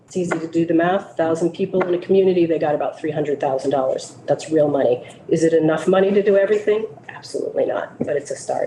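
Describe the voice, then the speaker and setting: The speech moves at a very fast pace over noticeable background noise. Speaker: municipal league program director. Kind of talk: committee testimony.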